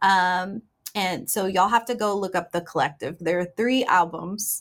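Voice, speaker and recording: A woman with an American accent talks at a fairly slow pace in an ordinary speaking voice. Her pitch variation is ordinary, and the recording is very clean with a silent background. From Houston, Texas. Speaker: singer-songwriter and record label owner. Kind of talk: interview.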